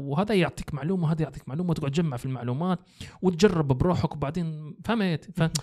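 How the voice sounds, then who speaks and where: A man with a Libyan accent speaks at a very fast pace in a dark, mellow tone, his fairly high pitch varying in an ordinary way against a quiet background. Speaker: graphic designer; podcast guest or host. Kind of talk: casual interview; interview answer. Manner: halting with many fillers. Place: studio. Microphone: studio mic.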